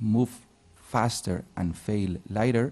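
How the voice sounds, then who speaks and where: A man with a Spanish accent speaks at a fairly low pitch in a dark, mellow tone. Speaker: digital agency founder. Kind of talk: interview on stage. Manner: halting.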